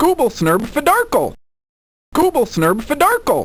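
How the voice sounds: The voice is pitched high. It is a put-on character voice. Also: moderate pace.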